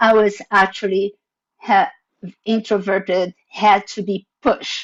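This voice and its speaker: A woman with a non-native accent speaks at a very slow pace. Her medium-pitched voice is monotone, with flat intonation. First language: not English. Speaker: panelist, former division director. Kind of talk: panel presentation.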